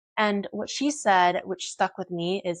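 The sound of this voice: A woman speaks at a medium pitch. Her pace is slow.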